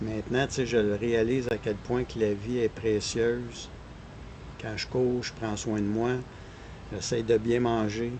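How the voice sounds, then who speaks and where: A man with a Quebec accent talks at a fairly slow pace and a medium pitch, his intonation monotone and flat, with long, frequent pauses. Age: 60s. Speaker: runner. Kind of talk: podcast interview.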